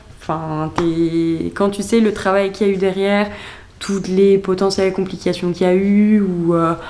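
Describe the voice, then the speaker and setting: Background noise is noticeable and the room echo is audible. A woman talks at a medium pitch in a monotone, flat intonation. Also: moderate pace. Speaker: vlogger. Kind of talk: casual vlog narration. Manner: chatty, hesitant with fillers.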